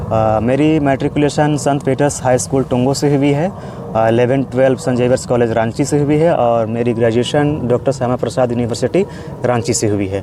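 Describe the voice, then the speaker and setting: A man with a Jharkhand accent speaks at a moderate pace with medium pitch, ordinary pitch variation and very even loudness. Noticeable background noise runs behind him. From Jharkhand, Gumla district (India). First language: Kurukh (speaking Hindi). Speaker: postgraduate Sanskrit student. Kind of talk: interview. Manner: hesitant, with frequent fillers.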